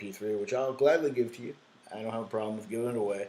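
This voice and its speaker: There is audible room echo around a man's voice. He speaks at a medium pitch with ordinary pitch variation. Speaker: guitar teacher and songwriter. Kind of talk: tutorial. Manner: halting, many fillers.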